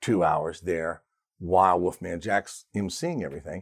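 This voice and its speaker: A man with an American accent uses a normal speaking voice at a fairly low pitch, with lively intonation at a moderate pace on a very clean recording with a silent background. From Richmond, Virginia. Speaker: radio disc jockey. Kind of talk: casual interview chat.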